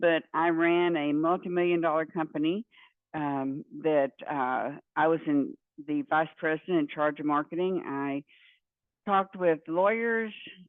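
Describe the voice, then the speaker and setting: Speaking with a Texan accent at a fairly slow pace, a woman has a very deep, low pitch and ordinary pitch variation. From Central Texas. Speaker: university professor. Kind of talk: lecture. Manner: casual with many fillers.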